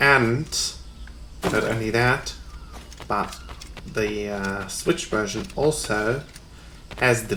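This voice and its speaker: A man with a German accent speaks at a very slow pace. Noticeable background noise and audible room echo are present. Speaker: gaming YouTuber. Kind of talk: let's play commentary. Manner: hesitant, many fillers.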